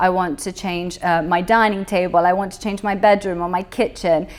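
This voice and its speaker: Her intonation monotone and flat, a woman speaks at a moderate pace in a British accent. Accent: British English, expat. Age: 20s. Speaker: business owner. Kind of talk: interview. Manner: casual, hesitant fillers.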